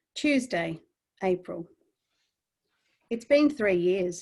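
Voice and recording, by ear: A female-sounding voice in a put-on character voice, shaky and medium in pitch, moves at a very slow pace.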